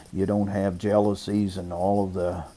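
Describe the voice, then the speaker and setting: In a dark, mellow tone, a man speaks at a moderate pace with fairly low pitch and monotone, flat intonation. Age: 60s. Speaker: pastor. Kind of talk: interview.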